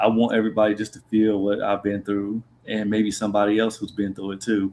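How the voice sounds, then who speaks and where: This voice has an American accent. The pace is very fast. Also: man. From Columbus, Ohio, US Midwest. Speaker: spoken word poet. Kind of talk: interview. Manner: tends to talk fast.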